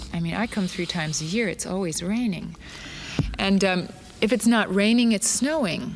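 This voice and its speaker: A woman speaks in an American accent at medium pitch with ordinary pitch variation. Her pace is moderate, and there is noticeable background noise. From Arizona, USA. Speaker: dancer and choreographer. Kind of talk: interview answer.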